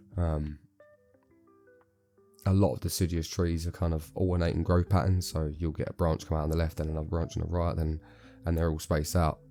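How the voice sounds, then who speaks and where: A man speaks in a very deep, low voice with flat, monotone intonation. Music plays in the background. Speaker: bonsai grower. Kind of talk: casual tutorial talk to camera. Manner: casual, hesitant with fillers.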